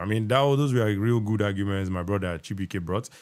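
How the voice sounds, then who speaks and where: On a very clean recording with a silent background, a man with a Nigerian accent talks at a fairly quick pace with ordinary pitch variation. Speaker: podcast host. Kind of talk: live stream hosting. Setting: live stream.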